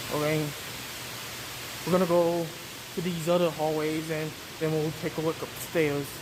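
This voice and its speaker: A man speaks at a moderate pace in a fairly high pitch, with monotone, flat intonation and long, frequent pauses. Room echo is audible, along with noticeable background noise. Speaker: fire alarm enthusiast vlogger. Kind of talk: walking video tour. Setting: indoors, hotel hallways. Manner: casual, spontaneous; whispering in hallways.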